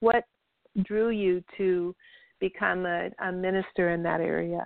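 Speaking at a fairly slow pace, a woman has a plain, everyday voice with medium pitch and ordinary pitch variation. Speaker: radio host and spiritual practitioner. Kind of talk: radio interview.

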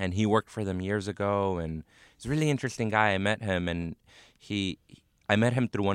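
A man with an American accent has a plain, everyday voice at a fairly low pitch with ordinary pitch variation, recorded very cleanly against a silent background with a dry, close sound and no echo. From Los Angeles, South Central. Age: 30s. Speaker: comedian. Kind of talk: casual chat. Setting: studio.

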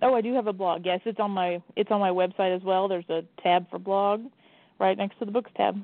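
With an American accent, a normal speaking voice moves at a fairly quick pace with fairly even intonation. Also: woman, medium pitch for a woman. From Indiana, Evansville area. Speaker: mystery author. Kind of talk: radio interview.

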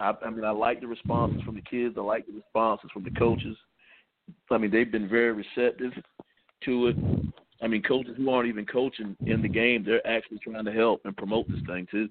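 A man with a Southern US accent, medium pitch, monotone, flat intonation and a fairly quick pace. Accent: US South. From South Carolina. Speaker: high school football head coach. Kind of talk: radio interview. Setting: phone call.

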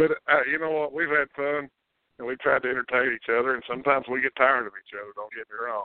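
Keeping a fairly even intonation, a man speaks with a Kentucky accent. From Kentucky, Montgomery County. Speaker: sports radio host. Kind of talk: casual chat.

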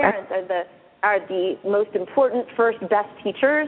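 A woman speaks in a plain, everyday voice, keeping a moderate pace and ordinary pitch variation. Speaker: pediatrician and author. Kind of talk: radio interview.

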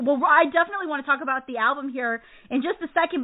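Animated and high-pitched, a woman speaks at a very fast pace. Her intonation is lively. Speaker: radio show host. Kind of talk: casual interview. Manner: animated, effusive.

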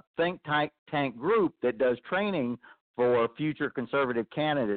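In an American accent, a man with a plain, everyday voice and fairly high pitch talks at a fairly slow pace. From Texas. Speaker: army veteran and political candidate. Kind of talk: call-in comment.

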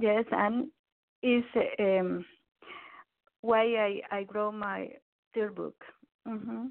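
A woman with a Mexican accent, very slow and fairly even, with long, frequent pauses. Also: fairly high pitch for a woman. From Mexico (Veracruz). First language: Spanish. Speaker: psychologist and life coach. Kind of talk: interview. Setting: phone call.

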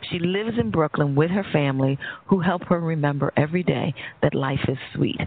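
Against noticeable background noise, a woman with an American accent speaks at a very deep, low pitch with ordinary pitch variation. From New York. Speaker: radio host and psychologist. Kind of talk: interview on talk radio. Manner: halting.

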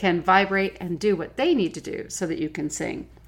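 Here is a woman with an ordinary speaking voice, medium pitch and ordinary pitch variation at a moderate pace. The recording is very clean, with a silent background. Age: 50s. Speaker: podcast host and nutrition coach. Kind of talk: solo podcast monologue.

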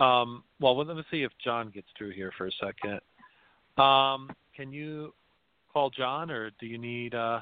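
In a New Jersey accent, a man speaks at a fairly slow pace and a medium pitch, with ordinary pitch variation, big swings in loudness and long, frequent pauses. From New Jersey (South River, Middlesex County). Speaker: podcast host. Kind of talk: casual chat. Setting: online call-in show.

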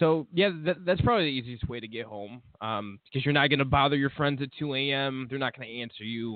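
A man's ordinary speaking voice at medium pitch, fairly quick with hardly any pauses, with ordinary pitch variation and big swings in loudness. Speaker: podcast host. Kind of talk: casual banter, comedic chat. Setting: live internet radio show.

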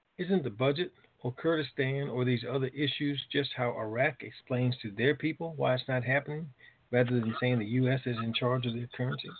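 Here is a man with a normal speaking voice at medium pitch. He talks at a fairly quick pace with fairly even intonation. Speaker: call moderator reading listener questions. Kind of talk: reading listener questions and taking calls. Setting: conference call.

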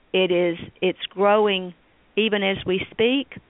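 In a Tennessee accent, a woman speaks fairly slowly at a medium pitch with fairly even intonation. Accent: US Southern (Tennessee). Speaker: state senator. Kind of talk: interview.

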